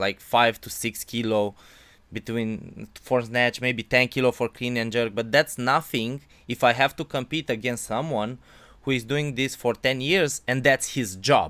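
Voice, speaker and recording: A man's bright, sharp tone in a Romanian accent, medium in pitch with ordinary pitch variation, at a fairly slow pace, with a dry, close sound and no echo. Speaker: podcast interviewer, amateur weightlifter. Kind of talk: interview. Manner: halting.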